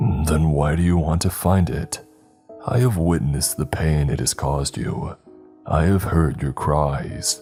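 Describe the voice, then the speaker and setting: A man puts on a raspy character voice, very deep and low. He goes at a fairly slow pace over faint background music. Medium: read story. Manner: formal, archaic phrasing.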